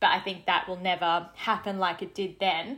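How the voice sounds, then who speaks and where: Her tone is bright and sharp as the woman speaks at a moderate pace. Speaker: beauty brand founder. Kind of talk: interview. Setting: remote call.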